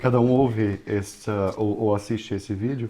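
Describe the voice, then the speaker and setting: There is noticeable background noise in this clip. A man speaks in a Brazilian accent. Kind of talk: podcast interview.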